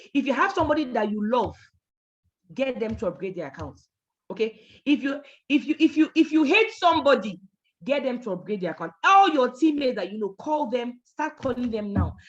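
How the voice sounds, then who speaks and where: A woman speaks loudly and at a fairly quick pace, her high voice taking very wide pitch swings in an animated tone. The background is quiet. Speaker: network marketing trainer. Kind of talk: training talk.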